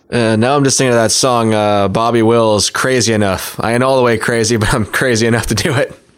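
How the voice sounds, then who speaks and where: At a very fast pace with hardly any pauses, a man talks at a medium pitch, his loudness very even and his intonation fairly even, against noticeable background noise. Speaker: podcast host. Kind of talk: casual interview chat.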